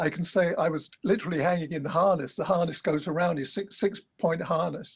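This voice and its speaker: This man speaks at a moderate pace in a high pitch, with ordinary pitch variation. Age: old. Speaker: amateur pilot. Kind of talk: interview answer.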